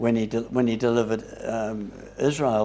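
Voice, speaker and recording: A man is speaking in a New Zealand accent. His pace is moderate. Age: 80s+. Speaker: Bible study leader. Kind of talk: Bible study discussion. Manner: halting.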